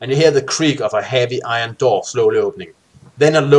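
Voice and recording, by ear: Someone is reading aloud in a natural voice. The text comes out as read rather than spoken freely.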